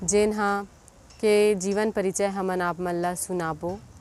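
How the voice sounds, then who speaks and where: A woman at a medium pitch with a plain, everyday voice. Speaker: YouTube channel host. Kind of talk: scripted introduction.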